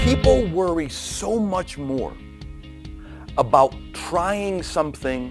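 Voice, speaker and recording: The speech moves at a very slow pace with long, frequent pauses and big swings in loudness. Music plays in the background. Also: man. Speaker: keynote speaker and author. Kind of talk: keynote speech.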